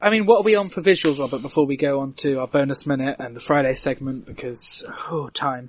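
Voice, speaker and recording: A man speaks at a fairly high pitch. He talks very fast, with hardly any pauses. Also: ordinary pitch variation. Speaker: podcast host. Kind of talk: casual chat.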